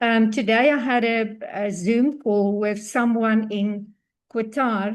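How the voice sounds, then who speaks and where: A woman's fairly high voice with fairly even intonation and a quiet background. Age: 60s. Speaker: online business participant. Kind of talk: testimonial. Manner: halting; well-spoken.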